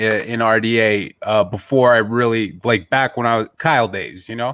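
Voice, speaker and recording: Music plays in the background. Over it, a man talks at a medium pitch. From Canada. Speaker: streamer. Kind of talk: casual chat.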